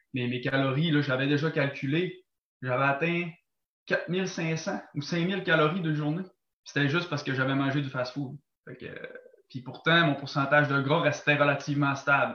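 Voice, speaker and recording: With a Quebec accent, a man speaks at a fairly high pitch and moderate pace. His intonation is fairly even while his loudness swings widely. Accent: Québécois French. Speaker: athlete, gym-goer. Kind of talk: casual interview chat. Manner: halting.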